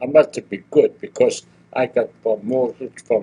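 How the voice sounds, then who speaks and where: A man speaking at a very slow pace. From Germany. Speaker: retired toolmaker. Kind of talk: oral history interview. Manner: halting.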